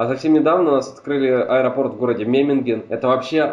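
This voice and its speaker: A man with a plain, everyday voice, medium pitch, fairly even intonation and a fairly quick pace. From Hungary. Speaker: podcast guest, film enthusiast. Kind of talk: casual chat.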